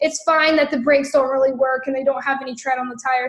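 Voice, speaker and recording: A woman speaks in an animated tone at a high pitch. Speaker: network marketing trainer. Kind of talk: training livestream.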